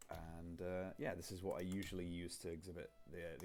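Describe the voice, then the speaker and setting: A soft-spoken man with a very deep, low pitch talks at a moderate pace. His intonation is monotone and flat, and there is audible room echo. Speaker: game designer. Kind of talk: tutorial. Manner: halting.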